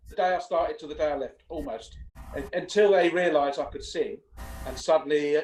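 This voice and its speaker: A man with an English accent talks at a fairly quick pace, his loudness swinging widely. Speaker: singer and vocal coach. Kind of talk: interview. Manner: casual.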